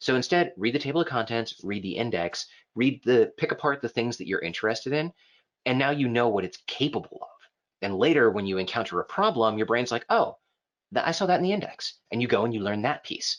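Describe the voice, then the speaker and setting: At a fairly quick pace, a man with a medium pitch speaks with lively intonation against a quiet background. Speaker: software trainer. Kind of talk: online class lecture. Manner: fast; casual, animated. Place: home room.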